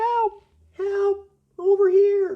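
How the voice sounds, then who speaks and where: This is a put-on character voice, squeaky and extremely high in pitch. Its intonation is monotone and flat. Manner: frightened, pleading.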